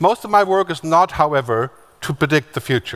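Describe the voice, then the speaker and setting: Recorded with a dry, close sound and no echo, a man speaks with ordinary pitch variation. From Germany. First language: German. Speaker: futurist keynote speaker. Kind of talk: conference keynote. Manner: fast.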